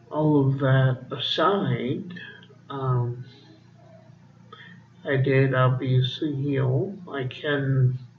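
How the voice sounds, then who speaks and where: A man's voice with fairly even intonation, some audible room echo and noticeable background noise. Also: medium pitch for a man. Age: adult. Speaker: vlogger. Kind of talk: casual monologue. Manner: slow; halting.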